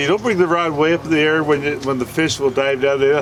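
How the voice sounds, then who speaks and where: A man speaks at a moderate pace in a fairly high voice, with ordinary pitch variation. Noticeable background noise runs behind him. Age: 70s. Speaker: fishing charter captain. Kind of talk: safety briefing and instruction to clients. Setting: on a boat offshore.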